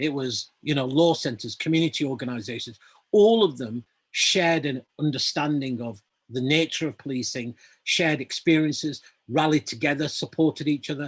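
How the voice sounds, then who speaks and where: In a Lancashire accent, a man speaks at a moderate pace and fairly high pitch, with ordinary pitch variation. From northern England, Lancashire (Burnley). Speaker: activist and campaigner. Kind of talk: panel discussion.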